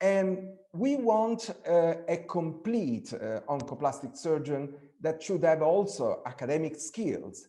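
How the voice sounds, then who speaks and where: In an Italian accent, a man speaks very slowly with hardly any pauses, in a high voice with a dark, mellow tone and lively intonation. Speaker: breast surgeon. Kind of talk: webinar presentation. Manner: halting, many fillers and repetitions.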